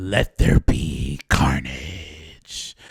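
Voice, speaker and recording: In a put-on character voice, a man sounds raspy and very deep, with ordinary pitch variation. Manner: imitation, admittedly poor.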